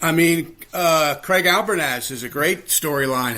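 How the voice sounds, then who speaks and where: A man's tone comes across bright and sharp, with an American accent. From US, Baltimore. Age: 60s. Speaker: baseball writer. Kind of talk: podcast interview. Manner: animated.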